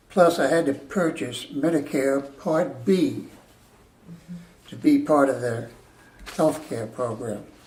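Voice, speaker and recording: A man with an American accent speaks at a fairly slow pace and a fairly high pitch, with audible room echo. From New Jersey. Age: 80s+. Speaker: retired military veteran. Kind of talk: testimony. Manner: measured, deliberate.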